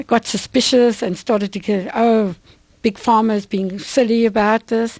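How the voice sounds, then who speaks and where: Recorded with a dry, close sound and no echo, a woman with a South African accent speaks slowly at a fairly high pitch with fairly even intonation. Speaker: vitamin company owner. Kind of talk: radio interview.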